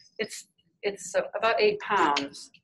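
With an American accent, a woman speaks at a fairly slow pace over light background noise. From US Midwest. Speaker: painter and printmaker; instructor. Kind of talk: live demonstration stream. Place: hall. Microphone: phone near.

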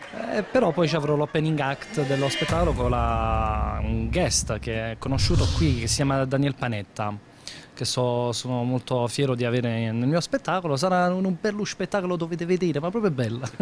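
Over noticeable background noise, a man talks at a moderate pace with lively intonation. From Naples, Italy; Italy. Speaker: comedian. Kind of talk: interview. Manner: animated. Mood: upbeat, animated. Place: shop. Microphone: handheld.

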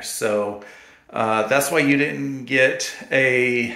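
A man with ordinary pitch variation amid audible room echo. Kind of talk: casual vlog chat. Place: bathroom. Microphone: phone near.

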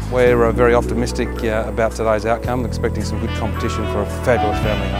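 A man at a very fast pace, dry sound with no echo, and loud music in the background. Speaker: real estate auctioneer. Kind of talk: casual talk to camera, interview answer. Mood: upbeat, confident. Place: garden. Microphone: lapel.

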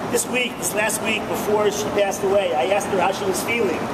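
A moderate pace over loud background noise. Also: man. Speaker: rabbi. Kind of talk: eulogy for his mother, personal reminiscences. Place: station. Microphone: phone near.

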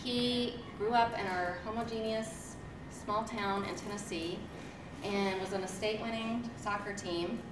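There is noticeable background noise. Through it, a woman speaks at a fairly slow pace. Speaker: teacher introducing guest. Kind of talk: speech introduction. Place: hall.

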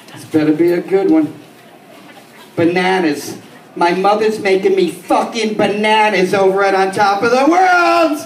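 With audible room echo and light background noise, a man with a high pitch and an American accent speaks at a fairly slow pace with lively intonation. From New York City, the Bronx. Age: 50s. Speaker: stand-up comedian. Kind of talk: stand-up. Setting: stage with small audience. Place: bar.

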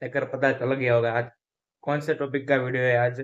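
A man speaks against a quiet background. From Gujarat, India. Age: 20s. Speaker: vlogger, engineering student; vlogger. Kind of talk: casual vlog to camera. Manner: mouth full while eating. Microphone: phone near.

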